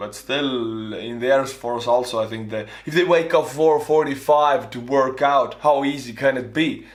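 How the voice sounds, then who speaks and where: There is noticeable background noise and audible room echo. A man talks with an Estonian accent. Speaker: YouTuber, former soldier. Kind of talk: reaction commentary.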